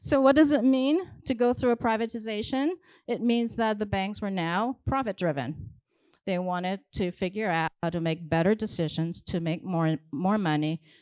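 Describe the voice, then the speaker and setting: Against a quiet background, a woman talks at a moderate pace with a non-native accent. Her medium-pitched voice has lively intonation. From abroad, non-English-speaking culture. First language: not English. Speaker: keynote speaker, data science executive. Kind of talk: keynote speech. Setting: stage with audience.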